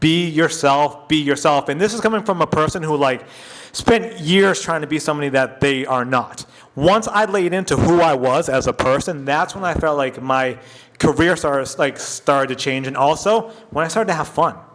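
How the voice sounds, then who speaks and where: Noticeable background noise runs beneath a man's voice. His pitch is fairly high, with ordinary pitch variation. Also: moderate pace. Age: 40s. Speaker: radio personality and podcaster. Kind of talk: casual interview chat. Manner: conversational, many fillers.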